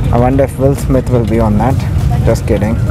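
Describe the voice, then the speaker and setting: A man at a moderate pace, with clear music in the background and a dry sound with no echo. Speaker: travel reviewer host. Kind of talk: casual vlog review commentary. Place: plane. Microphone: phone near.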